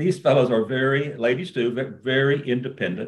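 This man talks with a Texan accent. His pitch sits in the medium range. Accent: Texan Southern American. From US South, rural East Texas. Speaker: business executive, investor. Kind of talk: interview. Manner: halting, many repeated words.

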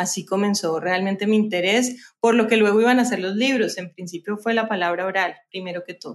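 A woman with a plain, everyday voice talks at a fairly quick pace and medium pitch, keeping fairly even intonation and hardly any pauses. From Colombia, Cali. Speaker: novelist and journalist. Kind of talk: interview.

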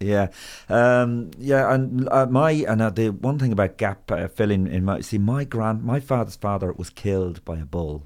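In a very clean recording with a silent background, a man with an Irish accent speaks at a moderate pace in a fairly low voice with lively intonation. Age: 50s. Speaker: comedian and podcast host. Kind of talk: casual chat.

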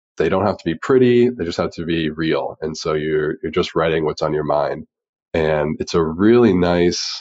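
A man speaks at a moderate pace. His pitch is very deep and low, with ordinary pitch variation. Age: 20s. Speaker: neuroscience researcher and entrepreneur. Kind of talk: interview conversation.

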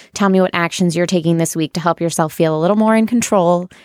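Against a very clean recording with a silent background and a dry, close sound with no echo, a woman uses an ordinary speaking voice, fairly low in pitch, with fairly even intonation. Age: 20s. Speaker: podcast host. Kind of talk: casual interview chat.

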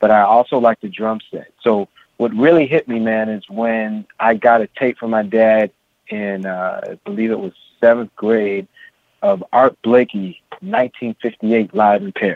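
An ordinary speaking voice from a man with an American accent, medium in pitch, at a fairly slow pace with ordinary pitch variation. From San Francisco, California. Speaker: drummer and music educator. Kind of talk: interview.

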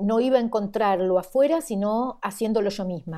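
A woman's fairly high voice with an Argentine accent, dark and mellow in tone, at a fairly slow pace with ordinary pitch variation. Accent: Argentine Spanish (voseo). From Argentina. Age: 60s. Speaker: educator. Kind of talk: interview conversation. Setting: video call.

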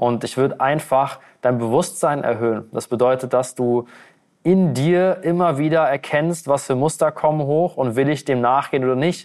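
A normal speaking voice at a moderate pace, with ordinary pitch variation and very even loudness. The background is quiet. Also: man, fairly high pitch for a man. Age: 20s. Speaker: weight-loss coach. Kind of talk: podcast interview.

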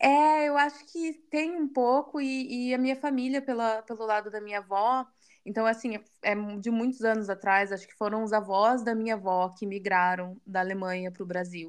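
A plain, everyday voice at a moderate pace, with ordinary pitch variation, big swings in loudness and a quiet background. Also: woman, fairly high pitch for a woman. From Brazil, Curitiba. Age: 30s. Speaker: marketing manager, former au pair. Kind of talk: interview.

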